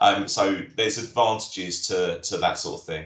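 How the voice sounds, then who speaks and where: A man's voice with audible room echo and noticeable background noise. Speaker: critical care and air ambulance paramedic. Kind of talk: career talk Q&A on a live webinar. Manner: fast; hesitant, many fillers.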